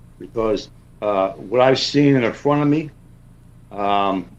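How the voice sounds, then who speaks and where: A man with a New York accent speaks at a moderate pace and medium pitch, keeping his intonation fairly even. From South Jersey, US. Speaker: cryptid researcher. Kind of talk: interview. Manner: halting.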